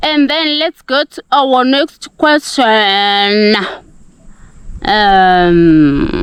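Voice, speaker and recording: Her voice fairly high, a woman talks at a very slow pace with very wide pitch swings. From Zimbabwe, Gokwe (Mashonaland). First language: Ndebele and Shona. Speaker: village life vlogger. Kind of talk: casual Q&A vlog. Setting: outdoors. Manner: animated.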